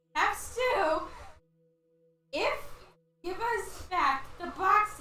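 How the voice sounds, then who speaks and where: In a put-on character voice pitched extremely high, a woman talks at a very slow pace with a slight echo. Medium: actual play. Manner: clipped, broken grammar.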